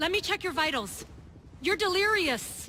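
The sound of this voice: A woman does a put-on character voice at an extremely high pitch, with a bright, sharp tone. She moves at a fairly slow pace, her intonation lively.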